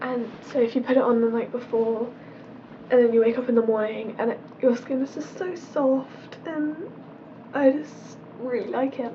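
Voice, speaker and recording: With noticeable background noise behind her, a woman with a British accent speaks at a high pitch and a moderate pace, using fairly even intonation and long, frequent pauses. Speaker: beauty vlogger. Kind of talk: casual product review vlog.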